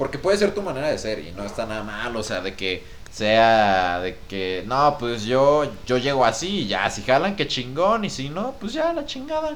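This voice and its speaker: A man speaks at a fairly slow pace, animated in tone, with very wide pitch swings. Room echo is audible. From Mexico. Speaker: podcast co-host. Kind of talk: casual chat.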